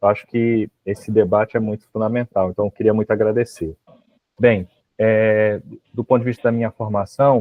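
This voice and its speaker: Speaking in a Rio de Janeiro accent, a man keeps a monotone, flat intonation at a moderate pace and a fairly low pitch. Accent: carioca, hissing S. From Rio de Janeiro, Baixada Fluminense. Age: 40s. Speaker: history professor. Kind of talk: interview.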